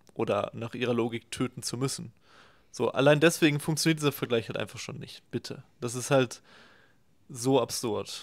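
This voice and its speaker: A normal speaking voice from a man at a medium pitch and moderate pace, with fairly even intonation and big swings in loudness. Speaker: left-wing YouTube commentator. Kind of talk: reaction video commentary.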